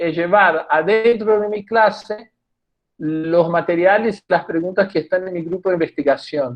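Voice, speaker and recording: In a Portuguese accent, a man talks at a fairly slow pace. His pitch variation is ordinary. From Brazil. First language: Portuguese (speaking Spanish). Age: 60s. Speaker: theatre professor and researcher. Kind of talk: talk at a public discussion event. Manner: halting, many restarts and fillers.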